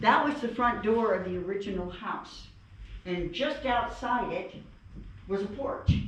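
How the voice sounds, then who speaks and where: A woman's fairly high voice at a fairly slow pace, with ordinary pitch variation, long and frequent pauses, audible room echo and noticeable background noise. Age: 70s. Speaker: museum tour guide. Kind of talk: guided tour talk. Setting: inside historic house museum.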